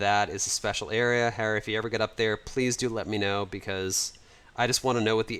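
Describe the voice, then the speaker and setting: A man with an American accent speaks at a fairly quick pace in a fairly low pitch. He has a plain, everyday voice. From United States. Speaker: livestreamer and 3D modeler. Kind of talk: livestream chat and walkthrough. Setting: home livestream. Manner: casual, conversational with fillers.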